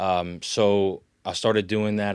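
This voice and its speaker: A man speaks with a south Louisiana accent. The recording is very clean, with a silent background. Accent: south Louisiana accent, noticeable. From south Louisiana (Lafourche, Grand Isle). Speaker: actor and folklore storyteller. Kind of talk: casual interview. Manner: casual, with many fillers and restarts.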